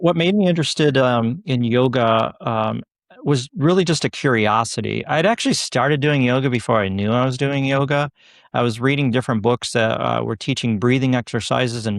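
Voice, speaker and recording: Against a quiet background, a man with an ordinary speaking voice talks at a fairly quick pace with ordinary pitch variation. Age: 60s. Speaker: yoga instructor and nurse. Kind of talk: podcast interview.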